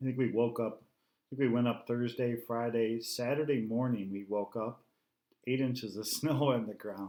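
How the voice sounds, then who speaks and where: A man speaks at a moderate pace with fairly even intonation. His tone is dark and mellow. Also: medium pitch for a man. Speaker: homesteading channel co-host. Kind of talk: live stream chat. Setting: live stream.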